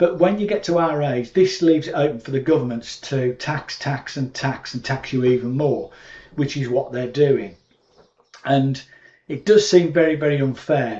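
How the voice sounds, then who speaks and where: With a British accent, a man talks at a moderate pace in a fairly high voice, his pitch varying in an ordinary way. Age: 60s. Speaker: YouTube commentator. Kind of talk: casual monologue to camera. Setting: at home in cottage. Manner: hesitant, many fillers.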